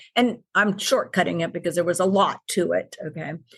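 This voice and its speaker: With an American accent, a woman speaks at medium pitch and a moderate pace. The background is quiet. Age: 60s. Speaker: integrative medicine doctor. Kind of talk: podcast interview. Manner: emphatic, animated.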